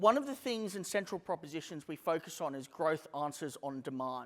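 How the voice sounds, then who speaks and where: A man talks with an Australian accent. His pitch is fairly high. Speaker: company CEO giving a conference talk. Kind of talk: conference presentation. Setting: stage with audience. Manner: casual, with filler words.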